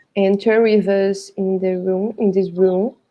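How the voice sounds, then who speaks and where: A woman talks with a Portuguese accent. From Brazil, Rio de Janeiro. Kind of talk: casual chat.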